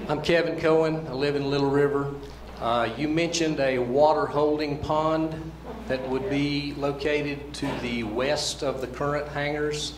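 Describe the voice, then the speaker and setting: A man with a fairly high pitch speaks at a moderate pace in a monotone, flat way. Noticeable background noise and audible room echo fill the recording. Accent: American. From western North Carolina. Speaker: local resident. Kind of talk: public hearing question.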